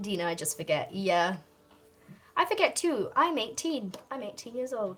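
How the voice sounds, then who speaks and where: A woman's pitch swings very widely as she talks fairly slowly against noticeable background noise. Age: 20s. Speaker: artist live streamer. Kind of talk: casual chat. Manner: animated.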